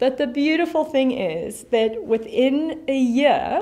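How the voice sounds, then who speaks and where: Speaking at a very slow pace in a South African accent, a woman uses a high pitch and lively intonation. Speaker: pastor. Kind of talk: sermon. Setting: online church service video. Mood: warm, encouraging. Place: studio.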